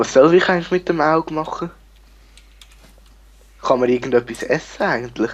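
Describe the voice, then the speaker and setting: A man with a Swiss accent speaks at a moderate pace in a fairly high pitch, leaving long, frequent pauses. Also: ordinary pitch variation. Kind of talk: casual gameplay commentary.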